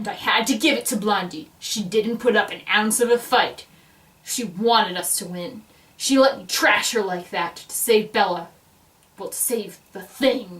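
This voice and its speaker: Speaking at a moderate pace, a woman with a fairly high pitch makes big swings in loudness. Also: ordinary pitch variation. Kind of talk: dramatic reading aloud. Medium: read story. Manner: blunt, wry.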